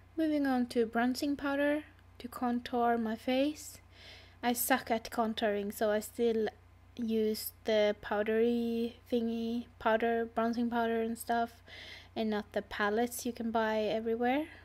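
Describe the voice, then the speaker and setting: A woman speaks in a flat monotone with a non-native accent at a fairly slow pace. The recording is very clean, with a silent background. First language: not English. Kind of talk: makeup tutorial voiceover. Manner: casual, hesitant.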